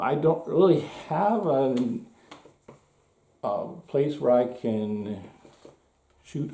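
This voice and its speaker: Through audible room echo, a man talks at a very slow pace. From Norway. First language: Norwegian. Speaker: gun hobbyist video maker. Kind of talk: casual show-and-tell tutorial. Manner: halting, many fillers.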